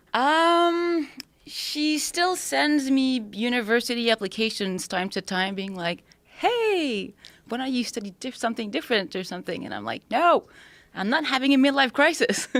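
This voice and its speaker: On a very clean recording with a silent background, a woman with a French-Canadian accent speaks at a high pitch and a moderate pace with very wide pitch swings. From Quebec, Montreal. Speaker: spearfisher, former lawyer. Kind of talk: podcast interview.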